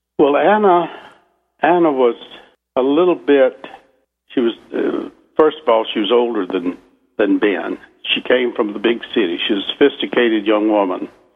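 The speaker talks at a moderate pace with a Southern US accent, leaving long, frequent pauses. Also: man. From US South. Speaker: novelist. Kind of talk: radio interview.

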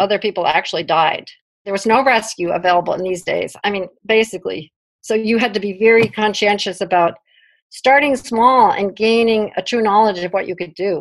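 Against a quiet background, a woman with a New York accent talks at a fairly quick pace and a medium pitch. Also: ordinary pitch variation. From US Northeast, Brooklyn. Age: 60s. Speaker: climber. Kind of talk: interview.

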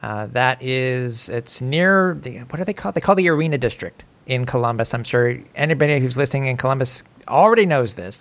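An unremarkable speaking voice: a man at a medium pitch with lively intonation. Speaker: podcast host. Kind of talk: casual sports podcast chat. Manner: chatty, informal.

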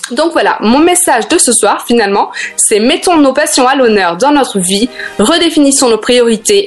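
Lively intonation at a moderate pace against noticeable background noise. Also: woman. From Africa and France. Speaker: life coach columnist. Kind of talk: scripted radio segment.

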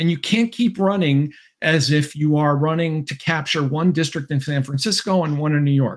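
A man with an American accent speaks at a moderate pace in an ordinary speaking voice, his pitch fairly high for a man. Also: ordinary pitch variation. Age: 60s. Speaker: political scientist and author. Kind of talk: interview. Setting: video call.

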